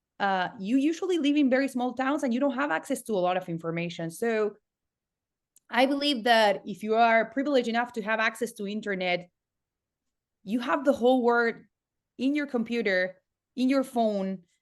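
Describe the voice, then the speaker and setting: A woman with a Spanish accent speaks at a moderate pace and a fairly high pitch with lively intonation and long, frequent pauses against a quiet background. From Argentina, Patagonia. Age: 30s. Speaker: entrepreneur and online education consultant. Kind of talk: podcast interview. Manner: halting, frequent repetitions.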